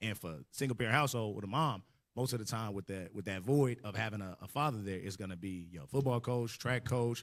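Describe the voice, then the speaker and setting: A man talks at a very fast pace and a fairly low pitch on a very clean recording with a silent background. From US South and Midwest (Arkansas, Michigan, Texas). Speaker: religious group member, panelist. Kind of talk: casual panel discussion.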